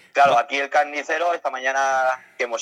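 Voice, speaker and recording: A man with a medium-pitched voice speaks at a very fast pace, the sound dry and close with no echo. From Spain, Elche (Alicante). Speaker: caravan traveler. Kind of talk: interview. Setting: outdoors at a village festival.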